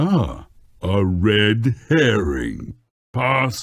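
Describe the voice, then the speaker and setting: A man puts on a character voice. His pitch sits fairly low. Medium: machinima. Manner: stern, repetitive.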